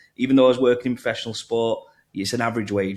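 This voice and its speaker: A man with a strong northern English accent talks at a very fast pace with medium pitch and fairly even intonation. The recording is very clean, with a silent background. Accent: thick northern English. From northern England. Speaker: crypto marketing executive. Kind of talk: podcast interview.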